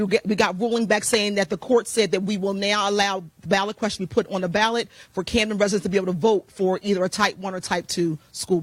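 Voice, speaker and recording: The pace is very fast, with hardly any pauses. The recording is very clean, with a silent background. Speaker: community activist. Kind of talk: presentation with slides.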